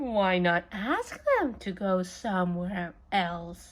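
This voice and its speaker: Very slowly, a woman speaks in a put-on character voice at a medium pitch. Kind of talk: read-aloud for children. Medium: read story. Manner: calm, cheerful.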